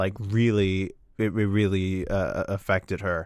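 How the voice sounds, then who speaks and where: In a very clean recording with a silent background, a man with an unremarkable speaking voice talks at a moderate pace and a fairly low pitch. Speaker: comedian. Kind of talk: casual chat. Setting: studio.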